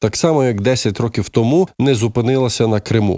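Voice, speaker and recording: A man speaks with a dark, mellow tone. The recording is very clean with a silent background, and the sound is dry and close with no echo. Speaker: news presenter. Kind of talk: news reading.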